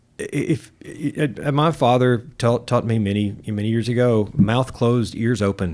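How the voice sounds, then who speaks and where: A man with a Southern US accent, medium pitch, ordinary pitch variation, a fairly slow pace and hardly any pauses. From US South, Arkansas. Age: 60s. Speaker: guitar shop owner and musician. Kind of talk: casual interview chat. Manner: halting, many repeated words.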